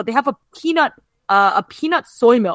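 With a normal speaking voice and lively intonation, a woman talks at a fairly quick pace in a very clean recording with a silent background and a dry, close sound with no echo. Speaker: podcast host. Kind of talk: casual chat.

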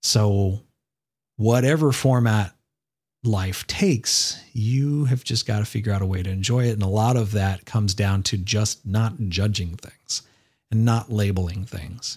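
A somewhat breathy voice with ordinary pitch variation speaks at a fairly slow pace on a very clean recording with a silent background. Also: man, fairly low pitch for a man. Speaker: podcast host. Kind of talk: casual monologue.

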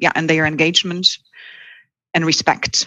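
The voice has a bright, sharp tone with a Polish accent, recorded with a dry, close sound, no echo and a quiet background. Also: woman. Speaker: head of recruitment. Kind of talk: interview.

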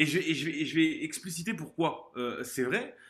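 A man speaks very slowly, his pitch swinging very widely. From southern France, Montpellier. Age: 20s. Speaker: former judo athlete and business consultant. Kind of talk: interview testimony. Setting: remote call. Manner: energetic.

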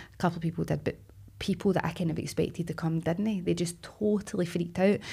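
A woman with a Glaswegian accent talks at a very fast pace with a dark, mellow tone, vocal fry and ordinary pitch variation. The recording is very clean, with a silent background. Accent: Glaswegian Scottish. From Scotland, Glasgow. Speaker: actress. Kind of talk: casual chat.

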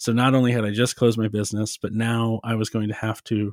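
In a very clean recording with a silent background, a man with an American accent speaks at a moderate pace and medium pitch, his intonation monotone and flat. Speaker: philosopher and podcast host. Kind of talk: casual interview conversation.

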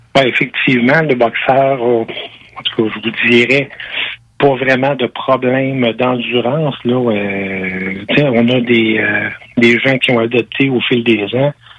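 A man speaks very slowly at a medium pitch, his intonation fairly even and his loudness very even. Noticeable background noise runs under the recording. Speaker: dog breeder. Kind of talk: interview.

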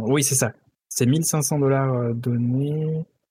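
The voice is somewhat breathy with a dark, mellow tone, fairly even intonation and a very slow pace. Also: man. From southeastern France, Alpes-de-Haute-Provence. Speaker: podcast co-host. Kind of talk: casual chat. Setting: remote recording, each on own side.

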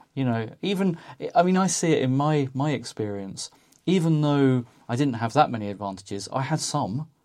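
A man with an unremarkable speaking voice talks at a moderate pace in a fairly high pitch with lively intonation. The recording is very clean, with a silent background. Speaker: podcast host. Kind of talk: casual reflective chat.

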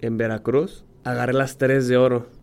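A man's mid-range voice proceeds at a moderate speed. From Mexico, Monterrey. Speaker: professional diver. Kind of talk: interview. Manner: halting.

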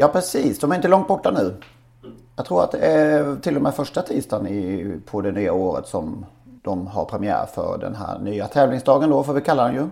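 This man's fairly high voice swings very widely in pitch as he talks at a moderate pace. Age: 40s. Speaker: podcast co-host. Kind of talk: casual chat.

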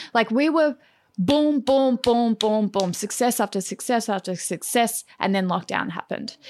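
In an Australian accent, the speaker goes at a moderate pace with ordinary pitch variation, captured as a very clean recording with a silent background and a dry, close sound with no echo. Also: woman, fairly high pitch for a woman. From Melbourne, Australia (from Perth). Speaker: hairdresser and salon owner. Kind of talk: interview.

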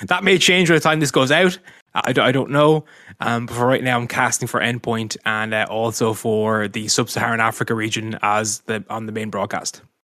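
With a Dublin accent, a man speaks in a bright, sharp tone. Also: medium pitch for a man, ordinary pitch variation, fairly quick pace. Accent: Dublin Irish. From Ireland, Dublin. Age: 30s. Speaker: esports caster and streamer. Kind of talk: casual interview.

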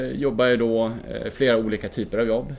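A man talks at a moderate pace. He has an ordinary speaking voice, pitched fairly low. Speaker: mountaineer and filmmaker. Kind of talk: casual interview. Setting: hotel lobby.

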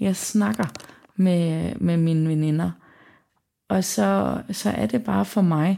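Very slowly, a woman speaks at a fairly low pitch in a dark, mellow tone. Her pitch swings very widely. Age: 20s. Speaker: visually impaired young woman sharing her story. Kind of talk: personal testimony. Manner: halting.

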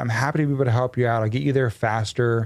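The recording is very clean with a silent background. A man with an American accent talks at a fairly quick pace with ordinary pitch variation. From Texas. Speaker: entrepreneur. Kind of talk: casual interview. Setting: studio. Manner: animated.

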